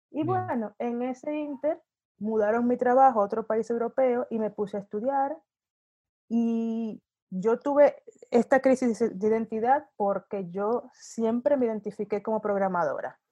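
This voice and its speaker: A woman talks at a fairly slow pace in a fairly high pitch, her dark, mellow tone showing ordinary pitch variation. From Dominican Republic, Santo Domingo. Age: 40s. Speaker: UX designer. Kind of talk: interview conversation.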